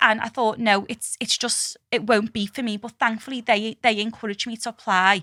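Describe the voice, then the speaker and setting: A woman with a strong Scouse accent speaks at a moderate pace with hardly any pauses, her fairly high, bright, sharp voice flat and monotone yet swinging widely in loudness. The very clean recording has a silent background and a dry, close sound with no echo. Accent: strong Liverpool (Scouse). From Liverpool, England. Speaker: scientist. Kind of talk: podcast interview answer. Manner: casual, candid.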